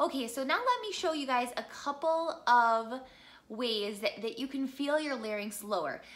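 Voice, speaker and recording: Her high-pitched voice has an animated tone and lively intonation. This woman talks at a moderate pace. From US Midwest. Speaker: singer and voice teacher; voice teacher. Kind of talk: tutorial. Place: home room.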